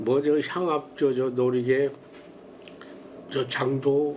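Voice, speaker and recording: A man is talking. His delivery is very slow. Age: 80s+. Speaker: traditional metal craftsman. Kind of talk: interview. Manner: halting.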